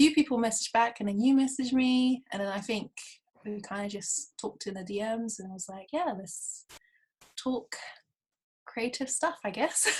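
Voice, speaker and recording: In a London accent, the speaker sounds somewhat breathy, with ordinary pitch variation, big swings in loudness, and long, frequent pauses. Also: woman, fairly high pitch for a woman, moderate pace. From South London, England. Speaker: YouTuber and freelance photographer. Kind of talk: casual chat. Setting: video call.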